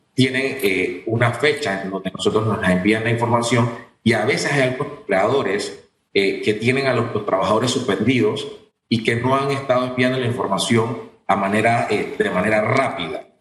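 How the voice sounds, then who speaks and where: With audible room echo, a man speaks at a moderate pace and medium pitch, his intonation fairly even and his loudness very even. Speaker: government agency director. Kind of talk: radio interview.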